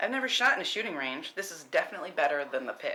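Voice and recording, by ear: With audible room echo, a woman puts on a character voice, low-pitched with a bright, sharp tone, racing at a very fast pace through big pitch swings.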